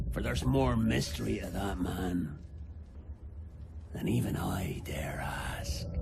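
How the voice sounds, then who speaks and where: A man's put-on character voice, very deep and low in pitch, at a fairly slow pace. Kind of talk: pirate storytelling. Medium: short film. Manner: gruff, rough-grammared.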